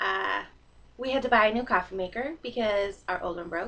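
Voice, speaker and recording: A woman speaks with a slight Canadian accent. Her tone is bright and sharp, and her pitch is fairly high. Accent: slight Canadian, noticeable in 'sorry'. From Canada, northern British Columbia, then US from age nine. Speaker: vlogger. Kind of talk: casual vlog monologue. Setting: recording to computer webcam.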